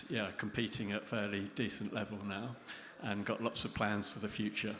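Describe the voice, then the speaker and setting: A man with a fairly low pitch speaks in a bright, sharp tone. His delivery is a flat monotone, and the room echo is audible. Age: 60s. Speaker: interviewer and competitive cyclist. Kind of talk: interview on stage.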